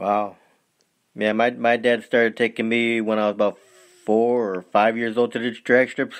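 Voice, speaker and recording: The man's medium-pitched voice stays monotone and flat, moving at a moderate pace. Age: 50s. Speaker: podcast host. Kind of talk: interview.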